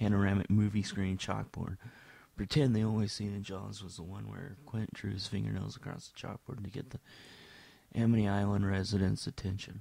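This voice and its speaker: Over a silent background in a very clean recording, a man speaks with a dark, mellow tone, fairly low pitch and fairly even intonation. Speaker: amateur film reviewer. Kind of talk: reading written film reviews. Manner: near monotone.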